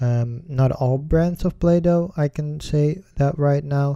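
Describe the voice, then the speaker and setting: A man with a Dutch accent speaks at a very slow pace and a fairly high pitch. His tone is dark and mellow, with fairly even intonation. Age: 20s. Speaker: podcast host. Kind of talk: casual solo podcast. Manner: hesitant, many fillers.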